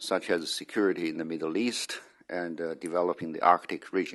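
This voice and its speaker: Putting on a character voice, a man talks hoarsely at a moderate pace. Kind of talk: formal conference speech.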